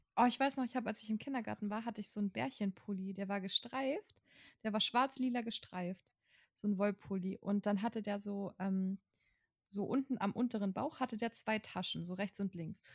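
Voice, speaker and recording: In a dry, close sound with no echo, a woman speaks somewhat breathily at a medium pitch and moderate pace, with ordinary pitch variation. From northern Germany (Kiel-Mettenhof). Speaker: podcast co-host. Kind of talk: casual chat.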